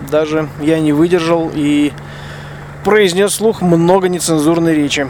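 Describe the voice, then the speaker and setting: A man's voice at a fairly high pitch, with ordinary pitch variation and noticeable background noise. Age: 40s. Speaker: rally co-driver and podcaster. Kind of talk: spoken field diary. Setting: truck cab at a desert bivouac.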